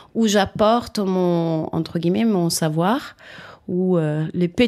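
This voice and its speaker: A woman with a fairly low pitch and a dark, mellow tone at a very slow pace, in a very clean recording with a silent background. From Italy. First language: Italian (speaking French). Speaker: rolfing practitioner, former dancer. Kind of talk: interview. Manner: halting.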